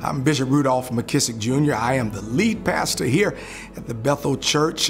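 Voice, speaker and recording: With clear music in the background, a man speaks at a moderate pace. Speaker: church lead pastor. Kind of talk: interview answer. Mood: warm, proud storytelling. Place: church.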